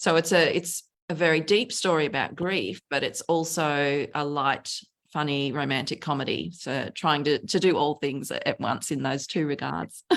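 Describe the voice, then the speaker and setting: A woman with an Australian accent speaks at a moderate pace. Her pitch is very deep and low. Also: ordinary pitch variation. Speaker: novelist. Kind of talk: interview conversation.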